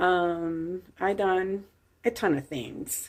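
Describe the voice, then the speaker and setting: A woman speaks with a Puerto Rican accent. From Puerto Rico. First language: Spanish. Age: 50s. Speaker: vlogger. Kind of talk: casual chat.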